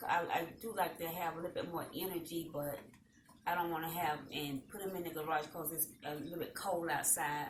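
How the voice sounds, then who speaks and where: A woman with a Southern US accent, fairly low pitch and monotone, flat intonation at a fairly quick pace, with audible room echo. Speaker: talk show host. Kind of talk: casual chat. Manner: calm, subdued energy.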